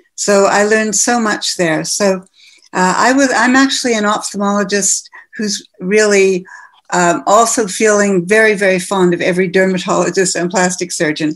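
At a moderate speed and mid-range pitch, a woman with an unremarkable speaking voice talks, her pitch shifting by a typical amount. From western Canada (Manitoba, Calgary, Vancouver). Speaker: ophthalmologist, cosmetic medicine pioneer. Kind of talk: interview.

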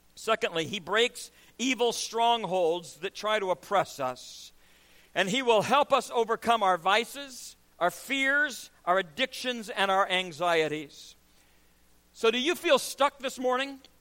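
A man with a high pitch speaks in a raised, projected voice, his bright, sharp tone carried by lively intonation at a fairly slow pace, the sound dry and close with no echo. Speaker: preacher. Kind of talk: sermon. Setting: church. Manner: animated, emphatic preaching with rhetorical questions and call-and-response cadence.

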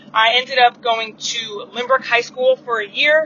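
High-pitched woman's voice, fairly even in intonation, over noticeable background noise. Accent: American. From Long Island, New York. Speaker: basketball coach and former college player. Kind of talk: casual monologue. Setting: in a car. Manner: casual, many filler words. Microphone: phone recording.

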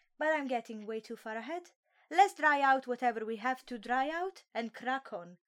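A woman with a high pitch speaks at a moderate pace with lively intonation, on a very clean recording with a silent background. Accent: Italian. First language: Italian. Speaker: solo podcast host reviewing webtoons. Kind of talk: casual comedic monologue. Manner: animated.

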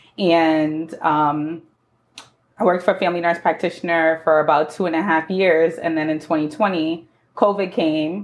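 A woman with an American accent and an unremarkable speaking voice talks at a moderate pace, her fairly low pitch carried with fairly even intonation. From New York City, the Bronx. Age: 30s. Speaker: entrepreneur, former nurse. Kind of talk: interview.

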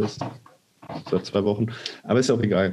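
A man with a normal speaking voice and a fairly low pitch talks at a fairly quick pace. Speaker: podcast co-host. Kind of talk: casual chat.

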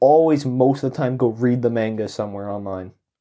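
A man with a Canadian accent speaks in a dark, mellow tone at a medium pitch. His pace is moderate and his pitch variation ordinary, against a quiet background. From Canada. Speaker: podcast co-host. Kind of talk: casual chat.

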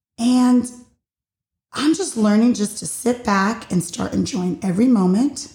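A woman speaks loudly at a fairly high pitch, her dark, mellow tone carried by lively intonation. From Puerto Rico, partly raised in the US. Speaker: podcast host. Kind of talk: solo personal monologue.

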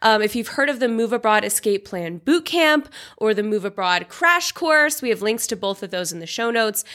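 A woman with an American accent speaks in a plain, everyday voice at a fairly high pitch. Her intonation is lively, with hardly any pauses. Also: moderate pace, very clean recording, silent background. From US Pacific Northwest (Seattle). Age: 30s. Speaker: podcast host and relocation coach. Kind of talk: casual solo podcast monologue.

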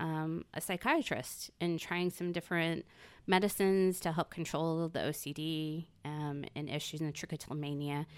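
A woman with an unremarkable speaking voice at a moderate pace, ordinary pitch variation, very clean recording and silent background. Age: 40s. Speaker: salon client, guest. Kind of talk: casual chat.

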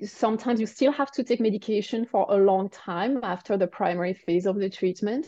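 A dark, mellow tone with a French accent, ordinary pitch variation, a fairly quick pace and hardly any pauses. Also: woman, medium pitch for a woman. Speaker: cancer survivor and coach for women. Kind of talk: podcast interview.

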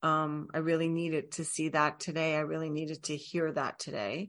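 Against a quiet background, a woman with a fairly low pitch speaks at a fairly slow pace in an unremarkable speaking voice. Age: 50s. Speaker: podcast host and yoga teacher, life coach. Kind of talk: casual solo monologue.

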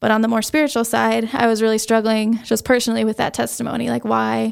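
A woman talks at a very fast pace in a very clean recording with a silent background. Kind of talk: testimony. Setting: home basement studio.

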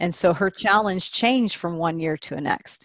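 Over a quiet background, a woman with an American accent uses a normal speaking voice, fairly low in pitch with ordinary variation, at a moderate pace. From Texas, Austin. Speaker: nonprofit fundraising entrepreneur. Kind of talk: interview conversation.

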